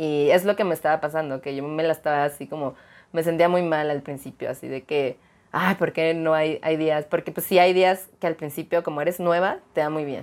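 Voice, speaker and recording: On a very clean recording with a silent background, a woman with a very deep, low pitch speaks at a fairly quick pace with fairly even intonation. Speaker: streamer and adult content creator. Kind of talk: casual interview chat.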